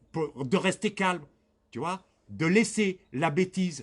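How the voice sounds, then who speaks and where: Ordinary pitch variation and a fairly slow pace from a man with a high pitch. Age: 60s. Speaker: victim of racial harassment. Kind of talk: interview testimony.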